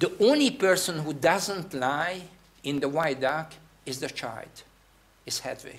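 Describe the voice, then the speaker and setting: Speaking very slowly with a Hungarian accent, a man uses ordinary pitch variation. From Hungary. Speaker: theatre director. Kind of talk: guest talk. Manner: halting.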